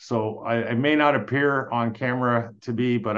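A man with a Canadian accent, medium pitch, fairly even intonation, and a fairly slow pace. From Quebec. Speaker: police detective and real estate investor. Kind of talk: interview conversation. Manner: hesitant, many fillers.

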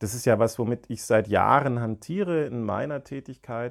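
A man speaks in an ordinary speaking voice with a medium pitch and lively intonation. The recording is very clean, with a silent background. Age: 40s. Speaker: psychologist, podcast co-host. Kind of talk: casual explanatory chat.

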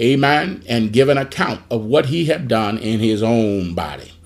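In an animated tone, a man of medium pitch speaks at a fairly slow pace with ordinary pitch variation. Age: 60s. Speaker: pastor. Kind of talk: Bible study teaching. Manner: animated, call-and-response exclamations.

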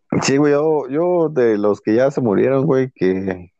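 With a Mexican accent, a man speaks at a fairly slow pace with lively intonation. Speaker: podcast co-host. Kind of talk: casual chat.

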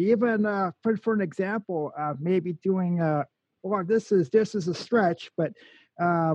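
A high-pitched man's voice in an American accent, dark and mellow in tone, dry and close with no echo against a quiet background. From Minnesota, Forest Lake. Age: 40s. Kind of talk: casual radio chat.

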